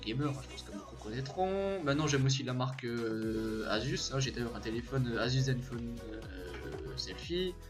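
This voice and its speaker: A man is heard speaking with music in the background. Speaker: gamer YouTuber. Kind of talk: casual talk to camera. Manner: hesitant, stumbling.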